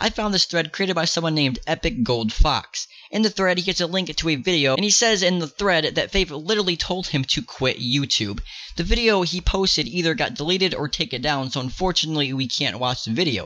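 A man with a high voice talks at a fairly quick pace with lively intonation against noticeable background noise. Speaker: YouTuber ranting about another creator. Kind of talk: angry rant. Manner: angry, heated, swearing; accusatory, emphatic.

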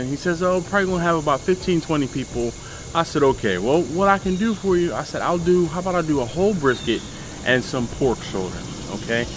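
The speech moves at a fairly quick pace with lively intonation. Noticeable background noise runs underneath. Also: man. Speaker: barbecue channel host. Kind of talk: casual vlog chat. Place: street. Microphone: camera far.

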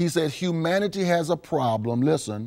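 Over a quiet background, the voice has a dark, mellow tone and a moderate pace. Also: man. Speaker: pastor. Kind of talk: sermon. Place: studio.

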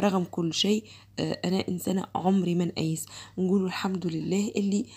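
A woman speaks at a moderate pace. Her intonation stays monotone and flat. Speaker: home vlogger. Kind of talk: casual vlog chat. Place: home room.

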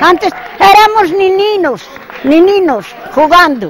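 Crowd noise sits in the background as a woman swings very widely in pitch, the sound dry with no echo. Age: 80s+. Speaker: bowls player. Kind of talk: interview answer. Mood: cheerful, proud, reminiscing. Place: stadium. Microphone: handheld.

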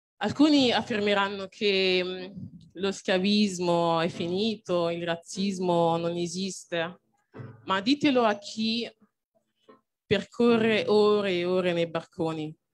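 Faint music plays behind a woman speaking at a very slow pace and medium pitch. She uses ordinary pitch variation and long, frequent pauses. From Nigeria. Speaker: poet and author. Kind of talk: spoken word poetry performance. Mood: earnest, grave. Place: stage. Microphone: handheld.

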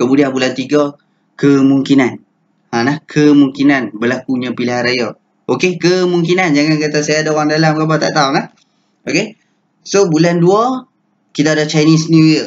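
Here a man talks in a normal speaking voice at a moderate pace. His pitch variation is ordinary. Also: fairly high pitch for a man. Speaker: stock trading educator. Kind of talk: tutorial. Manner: casual, filler-heavy.

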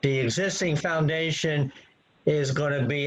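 A man with an unremarkable speaking voice talks at a fairly slow pace. His pitch is fairly high and his intonation fairly even. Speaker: professional engineer and planner. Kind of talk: expert testimony at a public hearing. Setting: video call.

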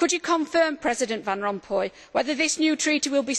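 A woman speaks at a high pitch. Her pace is very fast. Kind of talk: parliamentary speech. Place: hall. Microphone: podium.

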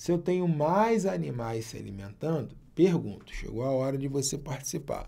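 A man's somewhat breathy, dark, mellow voice at a fairly high pitch, with lively intonation and a fairly slow pace. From Brazil. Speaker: math teacher for exam prep. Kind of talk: online video lesson. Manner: animated. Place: office.

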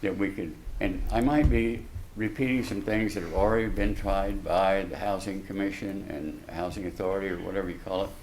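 A man talks with an American accent. Audible room echo surrounds his voice. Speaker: local building contractor, public commenter. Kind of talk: public comment at city council meeting. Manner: halting, with false starts.

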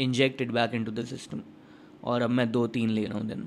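A man speaks over light background noise. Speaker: content creator. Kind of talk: casual vlog chat. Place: home room. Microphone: studio mic.

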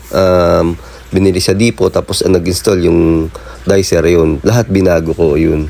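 A man speaks at a fairly slow pace with a very deep, low pitch, ordinary pitch variation and very even loudness. Noticeable background noise runs underneath. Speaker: plumber, DIY tutorial vlogger. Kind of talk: tutorial. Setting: on-site outdoors at a job. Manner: casual, halting with fillers.

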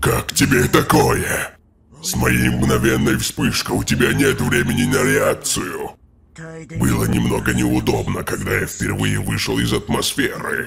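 A man puts on a cartoonish character voice with a very deep, low pitch. It sounds raspy and moves at a moderate pace. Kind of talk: anime dub villain monologue. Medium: fan dub. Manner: arrogant, intense, analytical.

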